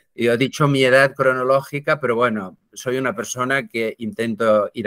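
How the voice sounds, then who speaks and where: A man with a normal speaking voice at medium pitch talks at a moderate pace with hardly any pauses, in a dry, close sound with no echo on a very clean recording with a silent background. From Barcelona, Catalonia. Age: 60s. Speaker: philosopher and writer. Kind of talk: interview conversation.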